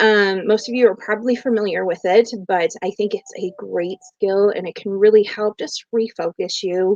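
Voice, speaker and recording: Recorded with a dry, close sound and no echo, a woman has an unremarkable speaking voice at a medium pitch, talking at a moderate pace with fairly even intonation and hardly any pauses. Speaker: behavior health professional and parent coach. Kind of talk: live stream talk. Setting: live video stream.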